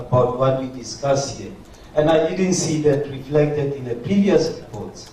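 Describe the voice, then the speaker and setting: A man with a fairly high voice speaks at a fairly slow pace. The recording has audible room echo and noticeable background noise. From South Africa. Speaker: conference participant. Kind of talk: plenary comment.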